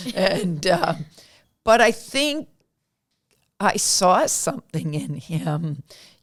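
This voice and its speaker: This woman's voice shows vocal fry and very wide pitch swings. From Pennsylvania, US. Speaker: county comptroller. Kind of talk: interview.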